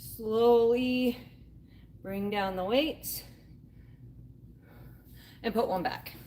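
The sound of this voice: Speaking at a very slow pace, a woman with a fairly high pitch and a dark, mellow tone shows ordinary pitch variation.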